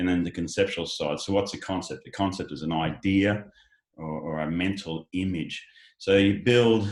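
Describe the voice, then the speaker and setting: With an Australian accent, a man speaks in a very deep, low pitch on a very clean recording with a silent background. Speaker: education company founder. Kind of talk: panel discussion. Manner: halting, many fillers.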